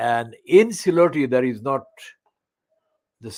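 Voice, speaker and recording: At a moderate pace, a man of medium pitch speaks with a Bangladeshi accent. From Sylhet region, Bangladesh. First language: Sylheti. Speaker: online channel presenter. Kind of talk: poetry reading with commentary. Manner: halting.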